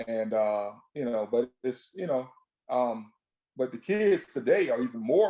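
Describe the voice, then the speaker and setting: A man with an American accent, dark, mellow tone, lively intonation and fairly slow pace. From US South, Florida (Sarasota). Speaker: retired police sergeant. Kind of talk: interview. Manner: halting, many fillers.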